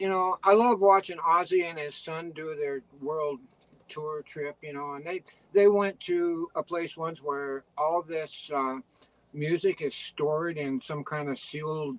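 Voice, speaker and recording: A man's fairly high voice, an ordinary speaking voice, at a fairly slow pace with ordinary pitch variation, in a dry, close sound with no echo. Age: 60s. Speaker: retired veterinarian and writer. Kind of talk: interview.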